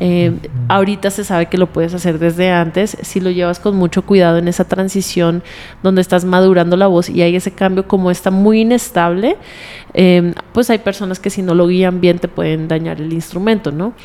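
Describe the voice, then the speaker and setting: In a monotone, flat intonation, a woman talks at medium pitch. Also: moderate pace. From Colombia. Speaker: singer. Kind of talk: interview.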